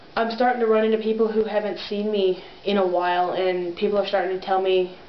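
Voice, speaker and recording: Over noticeable background noise and audible room echo, a woman talks at a very fast pace in a monotone, flat intonation. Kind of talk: video diary update. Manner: casual, many fillers.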